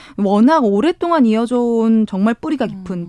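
With a fairly high pitch and very wide pitch swings, a woman speaks in a dark, mellow tone, recorded very cleanly with a silent background and a dry, close sound with no echo. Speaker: newspaper reporter. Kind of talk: news briefing. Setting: studio.

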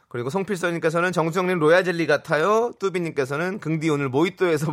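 Very fast speech with hardly any pauses and ordinary pitch variation. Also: man. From Incheon, South Korea. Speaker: radio host. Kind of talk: casual chat.

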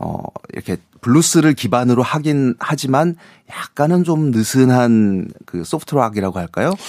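A man's plain, everyday voice with lively intonation at a moderate pace, dry and close with no echo, on a very clean recording with a silent background. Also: medium pitch for a man. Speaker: music critic. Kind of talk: casual chat. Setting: studio.

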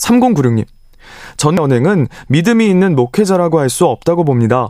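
Lively intonation marks this man's high-pitched voice, which has a dark, mellow tone. He moves at a moderate pace. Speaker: text message reader on radio. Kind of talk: reading aloud listener messages. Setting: radio studio.

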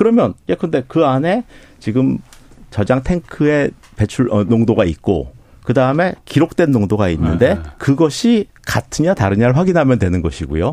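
A man's dark, mellow tone with vocal fry and very wide pitch swings. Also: medium pitch for a man, moderate pace, very even loudness. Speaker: nuclear engineering professor. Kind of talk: expert interview. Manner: halting, frequent restarts.

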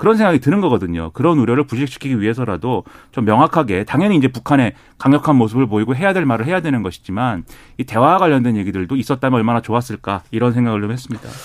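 A man talks at a very fast pace with a medium pitch and lively intonation. The recording is very clean, with a silent background. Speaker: political commentator. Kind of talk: panel discussion.

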